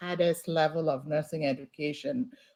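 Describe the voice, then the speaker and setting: The woman's tone is dark and mellow. She keeps a moderate pace. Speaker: keynote speaker, nursing professor. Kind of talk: commencement speech. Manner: formal.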